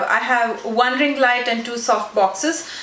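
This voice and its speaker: Noticeable background noise and audible room echo surround this woman's voice. Her pitch is high, with ordinary variation. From South India. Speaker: beauty YouTuber. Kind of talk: casual Q&A vlog. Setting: sitting on her bed at home.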